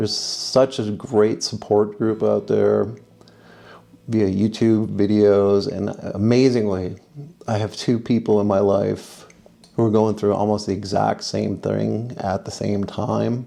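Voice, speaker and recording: A man speaks at a fairly low pitch in a dark, mellow tone. His pace is fairly slow, and his intonation is monotone and flat. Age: 50s. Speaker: film industry worker. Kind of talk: personal vlog talk to camera.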